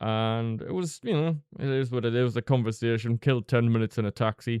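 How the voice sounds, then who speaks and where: In a dry, close sound with no echo, a man of medium pitch with a Northeast English accent speaks in a dark, mellow tone with fairly even intonation. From northeast England. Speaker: vlogger. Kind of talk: storytelling monologue. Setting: close to microphone. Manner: casual, conversational.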